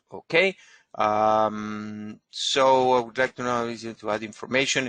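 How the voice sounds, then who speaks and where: A man with a Spanish accent talks at a moderate pace and medium pitch, his tone bright and sharp. His intonation stays fairly even, and the sound is dry and close with no echo. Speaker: genealogist. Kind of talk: webinar lecture with Q&A. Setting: online webinar. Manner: halting, many fillers.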